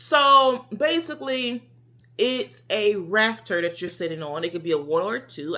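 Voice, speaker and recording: Loud and animated, a woman talks at a moderate pace in a medium-pitched, bright, sharp voice with very wide pitch swings. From US South. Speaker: vlogger. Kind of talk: casual vlog talk.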